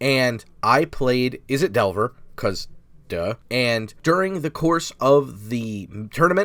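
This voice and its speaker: A man at a very slow pace, his pitch swinging very widely. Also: medium pitch for a man. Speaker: YouTube gaming channel host. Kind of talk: casual chat.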